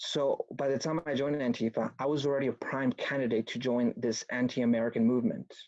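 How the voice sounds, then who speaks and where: A man with a Spanish accent, talking very fast with hardly any pauses, in a dry, close sound with no echo. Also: medium pitch for a man, fairly even intonation. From Mexico (Mexico City area), moved to US at about nine. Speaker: political activist speaker, former antifa member. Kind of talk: online talk presentation.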